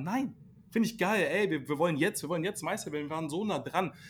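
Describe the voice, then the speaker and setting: The man's delivery is very fast. His intonation rises and falls in a lively way. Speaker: basketball podcast host. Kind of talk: casual chat. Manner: animated.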